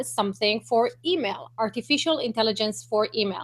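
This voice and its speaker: A woman's high-pitched voice with lively intonation and a non-native accent, on a very clean recording with a silent background. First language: not English. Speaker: online marketing broadcaster. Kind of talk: live-stream interview. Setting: live video hangout.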